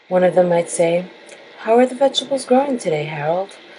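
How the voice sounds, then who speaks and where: A woman talks at a moderate pace in a fairly low pitch. Noticeable background noise can be heard. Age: late 20s to 30s. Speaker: horror storyteller. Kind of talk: horror story reading.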